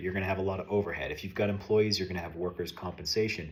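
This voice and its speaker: The voice belongs to a man and sits at a fairly low pitch. It sounds somewhat breathy. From US East Coast, Maine. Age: 30s. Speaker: painting contractor and self-improvement vlogger. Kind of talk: casual monologue vlog. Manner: hesitant, many fillers.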